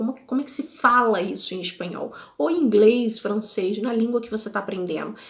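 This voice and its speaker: Over noticeable background noise, a woman speaks fairly quickly at a fairly high pitch with ordinary pitch variation. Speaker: podcast host, language learner. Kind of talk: casual podcast monologue. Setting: video podcast recording. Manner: conversational.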